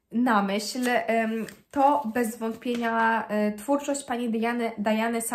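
This woman speaks with ordinary pitch variation. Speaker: book vlogger. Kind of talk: casual vlog chat. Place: home room. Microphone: phone near.

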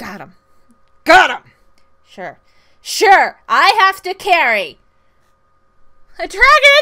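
A put-on character voice pitched extremely high, with very wide swings in pitch. It moves at a very slow pace, broken by long, frequent pauses. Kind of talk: comic overacting. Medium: solo performance. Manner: exasperated, exclamatory.

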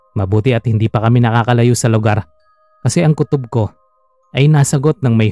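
Music plays in the background while speech at a fairly quick pace comes through with a dry, close sound and no echo. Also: man. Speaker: storyteller reading a listener-submitted story. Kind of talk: ghost story telling, first-person scary narration read aloud.

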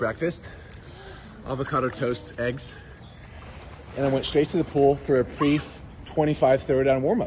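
Light background noise runs under the recording. A man speaks over it at a moderate pace. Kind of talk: casual vlog chat. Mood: playful trash talk. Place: waterside. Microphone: phone near.

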